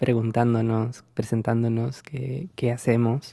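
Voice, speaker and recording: A man speaks in a dark, mellow tone at a medium pitch with monotone, flat intonation. The sound is dry and close, with no echo. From Peru. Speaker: university language teacher. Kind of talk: casual chat.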